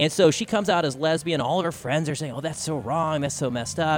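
A man talks in a plain, everyday voice with an American accent. His pitch is fairly high, and his pace is fairly quick. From Texas, Austin. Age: 30s. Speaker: podcaster and speaker. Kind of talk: live radio interview. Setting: convention floor broadcast.

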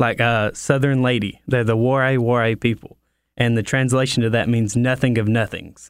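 A man at medium pitch and moderate pace, monotone and flat, with very even loudness, on a very clean recording with a silent background. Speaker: missionary. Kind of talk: casual interview chat.

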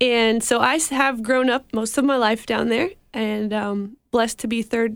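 In an American accent, a woman with an ordinary speaking voice talks at a moderate pace, her fairly high pitch showing ordinary variation. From Mexico, raised by American missionaries. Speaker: missionary. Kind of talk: interview. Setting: studio.

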